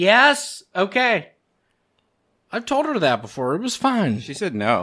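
The voice is raised and projected, with very wide pitch swings. It moves at a fairly slow pace over a quiet background. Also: man. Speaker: podcast co-host. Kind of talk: casual chat. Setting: studio. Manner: animated. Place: home room. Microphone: studio mic.

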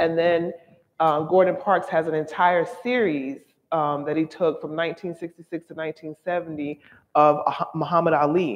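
Speaking at a very slow pace, a woman uses a fairly low pitch. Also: fairly even intonation. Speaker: museum studies professor and exhibition co-curator; museum studies professor. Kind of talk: gallery talk. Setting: museum gallery with audience. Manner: calm yet firm. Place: hall.

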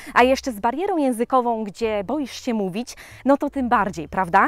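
Her high-pitched voice moves with lively intonation as the woman speaks, the sound dry with no echo and the background quiet. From Poland. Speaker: vlogger. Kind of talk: casual chat. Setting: outdoors. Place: forest. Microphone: phone near.

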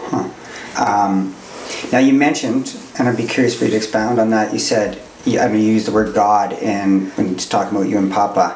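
A man with a fairly low voice talks at a very fast pace, broken by long, frequent pauses, over light background noise and audible room echo. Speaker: podcast host and youth counselor. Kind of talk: casual interview. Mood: curious, gentle, searching. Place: studio.

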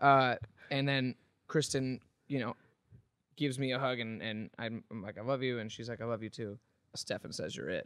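A man at a moderate pace with long, frequent pauses and ordinary pitch variation, in a dry sound with no echo and a quiet background. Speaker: podcast host. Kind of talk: casual chat. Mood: relaxed, humorous storytelling. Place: home room. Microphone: studio mic.

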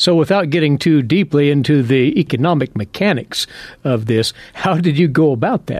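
Noticeable background noise sits behind a man's fairly high voice, which has a dry, close sound with no echo. He goes at a moderate pace with ordinary pitch variation. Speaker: farm radio host. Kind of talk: radio program hosting. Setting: studio.

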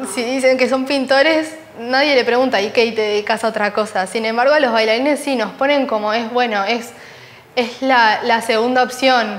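Her pitch is high, and this woman speaks at a moderate pace with fairly even intonation. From Uruguay. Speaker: ballet dancer. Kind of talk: interview. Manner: halting. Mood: warm, smiling, animated. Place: studio. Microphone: lapel.

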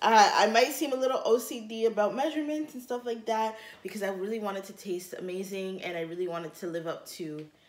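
A woman talks at a very fast pace with hardly any pauses. Her loudness swings widely, and audible room echo colors the sound. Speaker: food vlogger. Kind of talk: casual vlog chat. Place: kitchen. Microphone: camera far.

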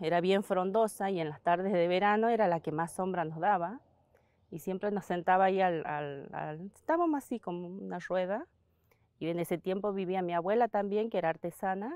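Over a quiet background, a woman talks at a moderate pace with ordinary pitch variation in a dry sound with no echo. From Argentina, Santiago del Estero. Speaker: basket weaver. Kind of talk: interview testimony. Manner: halting. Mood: calm, warm reminiscing.

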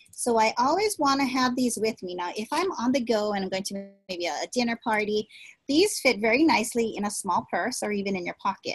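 Against a quiet background, a woman speaks at a fairly quick pace, somewhat breathy, with lively intonation. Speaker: direct sales consultant. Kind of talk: tutorial. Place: home room. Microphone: webcam.

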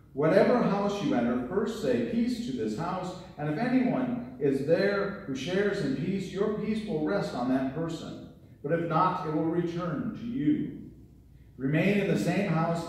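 Strong room echo surrounds a man who talks at a moderate pace with very wide pitch swings. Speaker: pastor. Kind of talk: scripture reading in sermon. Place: church.

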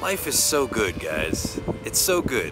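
A man's voice comes through with a dry sound and no echo, with music in the background. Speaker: car vlogger. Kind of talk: casual vlog chat. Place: waterside. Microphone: phone near.

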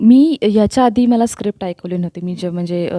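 A woman's voice has a dark, mellow tone. The recording is very clean and dry, close up with a silent background and no echo. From Chiplun, Ratnagiri (Konkan). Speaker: actress. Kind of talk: interview.

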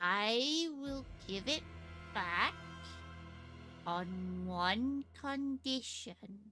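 Using a put-on character voice, a female-sounding speaker talks fairly high and very slowly, with long, frequent pauses and faint music in the background. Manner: curt, suspicious.

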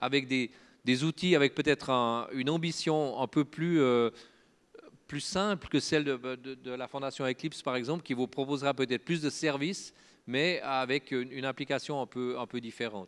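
A man with a Swiss accent talks with ordinary pitch variation. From French-speaking Switzerland. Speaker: open source foundation director and software engineer; conference speaker. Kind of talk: conference talk. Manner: halting, many filler words and repetitions. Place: stage. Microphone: handheld.

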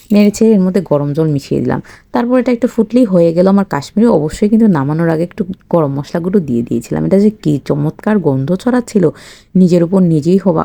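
A woman speaks in a dark, mellow tone at a fairly low pitch, her intonation lively. The sound is dry and close, with no echo. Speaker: cooking vlogger. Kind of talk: narrated cooking vlog.

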